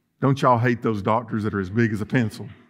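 The background stays quiet while a man talks. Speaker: pastor. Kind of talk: sermon. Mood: humorous, folksy. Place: church.

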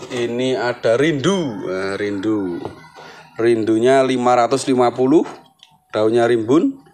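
With music in the background, a man talks at a very slow pace, pausing long and often. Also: ordinary pitch variation. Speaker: plant seller. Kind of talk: street-market sales pitch listing plants and prices. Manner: repetitive, hawking each item twice with 'murah meriah' cheerful calls. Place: garden. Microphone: phone near.

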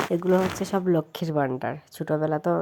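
A woman's dark, mellow voice, fairly low in pitch, with fairly even intonation on a very clean recording against a silent background. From Tripura, Kumarghat. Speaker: vlogger. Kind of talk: travel vlog narration. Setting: outdoors at a crowded fair.

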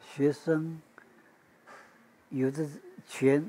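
Very slowly and in a monotone, flat intonation, a man speaks in a dark, mellow tone at a fairly high pitch. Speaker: oral history interviewee. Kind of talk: interview answer. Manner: hesitant, conversational. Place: home room. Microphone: lapel.

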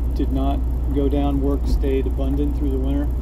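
Noticeable background noise sits under the recording. Through it, a man delivers his words at a moderate pace. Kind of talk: casual vlog chat. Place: car. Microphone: phone near.

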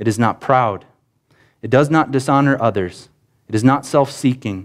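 A man is talking at a moderate pace, and the background is quiet. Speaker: preacher. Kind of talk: sermon. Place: church.

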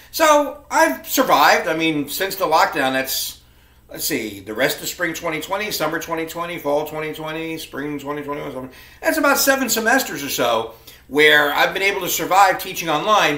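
Audible room echo hangs on speech delivered at a moderate pace. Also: man. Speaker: college instructor. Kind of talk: class welcome talk to students. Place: home room. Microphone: webcam.

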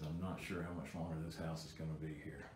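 Over light background noise and with audible room echo, a man speaks in a very deep, low pitch that is somewhat breathy. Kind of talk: casual walkthrough commentary. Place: home room. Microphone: phone near.

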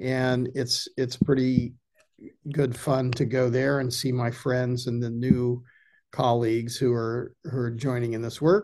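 A man with a dark, mellow tone at a fairly slow pace, against a quiet background. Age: 70s. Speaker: ecology filmmaker and former journalist. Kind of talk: casual chat. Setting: video call. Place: home room. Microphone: video call.

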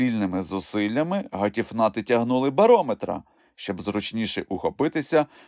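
The text is read out loud in a natural voice, the intonation lively.

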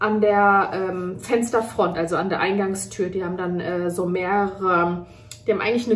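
A woman talks at a moderate pace. Her intonation stays fairly even over light background noise. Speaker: mother vlogger. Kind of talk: casual vlog chat. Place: kitchen. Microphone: phone near.

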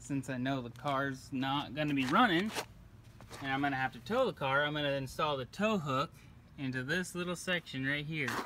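A man talks with ordinary pitch variation at a moderate pace while noticeable background noise carries on. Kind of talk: casual tutorial narration. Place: street. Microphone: phone near.

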